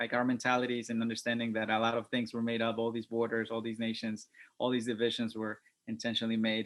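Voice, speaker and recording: A man with a Spanish accent talks fairly quickly at a medium pitch. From Mexico (Puebla) and New York City (Bronx, Queens). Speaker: hip hop MC, artist. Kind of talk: panel discussion. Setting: video call. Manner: halting, many fillers and repetitions.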